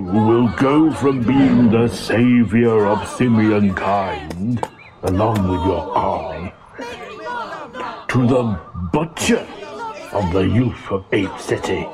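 A man uses a put-on character voice at medium pitch, speaking very slowly with long, frequent pauses. His loudness stays very even, and clear background noise can be heard. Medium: audio drama. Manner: dry, measured.

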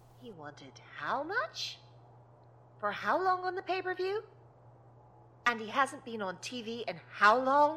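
A woman with a high pitch speaks in a raised, projected voice at a fairly slow pace, leaving long, frequent pauses. Her pitch swings very widely and her loudness swings a lot, over noticeable background noise. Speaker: wrestling company president character. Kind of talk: scripted comedic audio drama. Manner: brisk, exasperated, businesslike.

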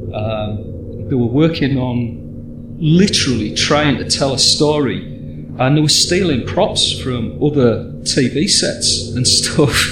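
A man's medium-pitched voice with an English accent and very wide pitch swings, at a very slow pace, with audible room echo and noticeable background noise. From England. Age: 40s. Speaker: podcast host. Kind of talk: casual chat.

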